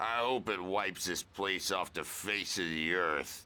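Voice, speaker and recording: A man puts on a raspy character voice with a very deep, low pitch, speaking at a moderate pace. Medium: video game. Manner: gruff, blunt.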